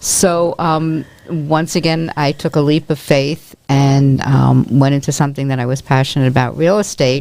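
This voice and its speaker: Speaking with a New York accent at a moderate pace, a woman uses a very deep, low pitch and a dark, mellow tone, her intonation fairly even and with hardly any pauses. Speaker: real estate agent and dance company volunteer. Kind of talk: podcast interview.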